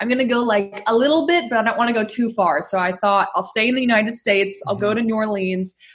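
With an American accent, a woman speaks at a very fast pace over noticeable background noise. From Northern California, Bay Area. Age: 20s. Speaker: anxiety coach and speaker. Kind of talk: interview.

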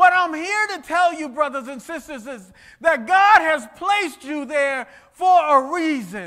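A raised, projected voice with a bright, sharp, animated tone, lively intonation, big swings in loudness and a fairly slow pace over a quiet background. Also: man, extremely high pitch for a man. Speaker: preacher. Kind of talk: sermon. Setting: church with congregation. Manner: animated, exhorting the congregation with repeated phrases and direct calls to respond. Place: church.

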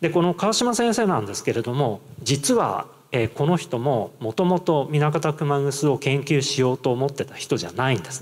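A man at a moderate pace, with very wide pitch swings and big swings in loudness, over a quiet background. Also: fairly high pitch for a man. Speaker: university lecturer. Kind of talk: presentation. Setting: stage with audience. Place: hall. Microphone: handheld.

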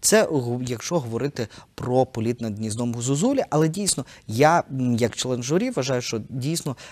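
A moderate pace with ordinary pitch variation. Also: man. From eastern Ukraine (Kharkiv); Ukraine. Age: 30s. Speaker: theatre director; guest. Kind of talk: interview; interview answer. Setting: studio. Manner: hesitant, many filler sounds. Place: studio. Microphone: lapel.

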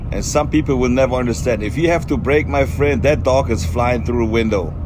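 Speech at a fairly quick pace, with very wide swings in pitch and noticeable noise in the background. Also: man. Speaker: travel vlogger. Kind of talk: casual vlog chat. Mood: upbeat, chatty. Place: car. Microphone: phone near.

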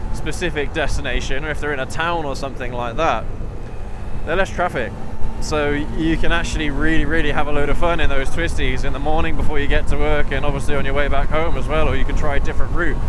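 A man's fairly quick voice, dry and echo-free, over noticeable background noise. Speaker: motorcycle vlogger. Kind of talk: casual vlog chat. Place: motorbike. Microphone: helmet.

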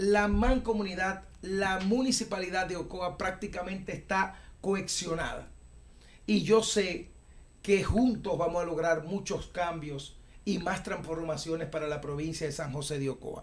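The speaker is a man with a high pitch. He goes at a fairly slow pace with ordinary pitch variation. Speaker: interview guest. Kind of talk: interview answer. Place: studio. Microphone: studio mic.

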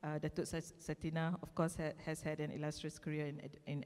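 Fairly quick and fairly low-pitched, a woman talks in a normal speaking voice. The background is quiet. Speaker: panel moderator. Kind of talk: formal introduction of panelists. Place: stage. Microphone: handheld.

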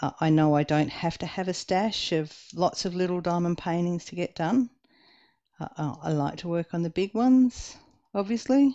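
A woman with an Australian accent talks at a fairly slow pace in a fairly low pitch. Her intonation is lively, and the background is quiet. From Western Australia. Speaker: diamond painting YouTuber. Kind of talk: casual chat while crafting. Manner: casual, chatty, with hesitations.

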